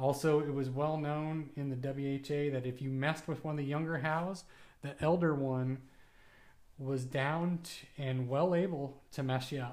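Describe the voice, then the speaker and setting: In a room with audible echo, a man speaks fairly slowly in a fairly high pitch with monotone, flat intonation. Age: 40s. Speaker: hockey book podcast host. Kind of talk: casual monologue.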